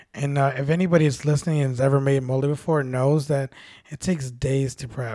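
Here a man speaks in a normal speaking voice at a fairly high pitch. His pace is fairly quick and his intonation fairly even. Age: 30s. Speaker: bartender. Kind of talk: casual chat.

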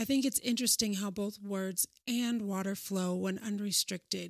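At a moderate pace and with fairly even intonation, a normal speaking voice comes through dry and close, with no echo. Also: woman. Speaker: podcast host. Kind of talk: scripted solo podcast intro, reflective monologue. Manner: earnest, formal, wellness-style.

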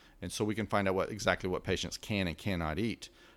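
A man with a West Texas accent, fairly low in pitch, at a moderate pace with ordinary pitch variation, on a very clean recording with a silent background. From West Texas and southeastern New Mexico. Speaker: chiropractor and wellness clinic owner. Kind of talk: interview.

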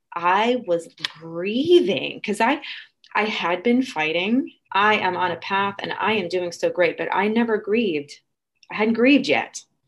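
Talking at a fairly slow pace, a woman uses a medium pitch and lively intonation. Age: 50s. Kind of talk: personal testimony in casual interview. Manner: halting, with fillers and repeated words.

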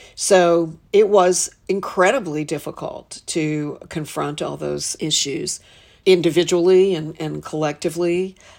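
A plain, everyday voice from a woman with an American accent, fairly low in pitch, with fairly even intonation and big swings in loudness. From Western North Carolina. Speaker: arts leader. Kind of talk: interview.

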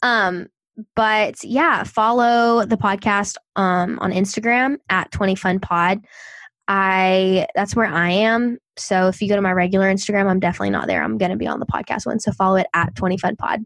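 A woman with a Southern US accent speaks at a moderate pace and medium pitch, with ordinary pitch variation and very even loudness, on a very clean recording with a silent background. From US South. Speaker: podcaster. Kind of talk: casual chat.

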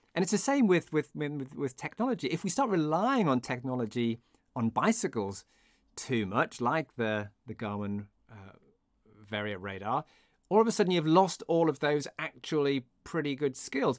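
Recorded very cleanly against a silent background with a dry, close sound and no echo, a man talks at a moderate pace in a fairly high pitch, his pitch swinging very widely and his loudness shifting a lot. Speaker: podcast host. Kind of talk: casual interview chat.

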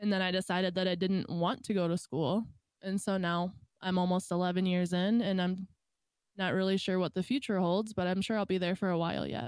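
In an American accent, a woman talks at a fairly quick pace with fairly even intonation. Her loudness stays very even, an ordinary speaking voice. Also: medium pitch for a woman. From Michigan. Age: 20s. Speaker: streamer, photographer and factory worker. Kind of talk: casual chat.

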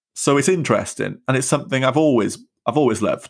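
Speaking with a Welsh accent, a man uses ordinary pitch variation. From South Wales. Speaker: stuttering activist and podcaster. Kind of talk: casual interview. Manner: halting, stutters at times.

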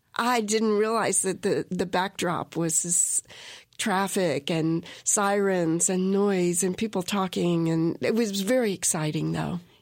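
A woman with an American accent at a medium pitch, fairly slow, with fairly even intonation, very even loudness, and a very clean recording with a silent background. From US South, Orangeburg, South Carolina. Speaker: ceramic artist. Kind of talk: interview. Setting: radio studio.

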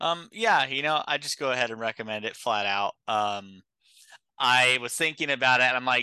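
In a dry, close recording with no echo and a quiet background, a man speaks at a medium pitch with a bright, sharp tone and ordinary pitch variation. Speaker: podcast panelist. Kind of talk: casual film discussion.

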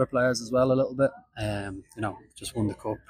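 Very fast speech comes from a man with an Irish accent, medium pitch, and fairly even intonation. The sound is dry and close, with no echo. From Ireland. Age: 20s. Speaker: professional footballer. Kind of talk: interview.

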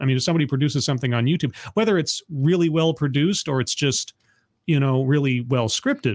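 This man has a plain, everyday voice with a fairly high pitch and ordinary pitch variation. The recording is very clean, with a silent background. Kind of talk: casual chat.

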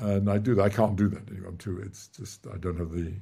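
A man's somewhat breathy, dark, mellow voice, fairly low in pitch, with fairly even intonation and a fairly quick pace. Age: 80s+. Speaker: theoretical physicist, author. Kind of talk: casual chat.

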